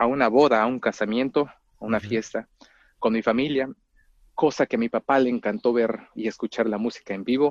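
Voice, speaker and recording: A man in a Mexican accent at medium pitch, fairly quick pace and ordinary pitch variation, with a dry, close sound with no echo and a quiet background. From Mexico, rural town near Mexico City. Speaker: orchestral clarinetist. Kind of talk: interview. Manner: halting, many repetitions and fillers.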